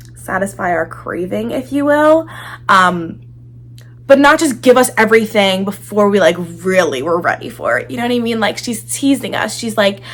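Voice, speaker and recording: Her voice is medium in pitch. The woman sounds animated, her pitch swinging very widely. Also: moderate pace. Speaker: book reviewer. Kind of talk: casual chat.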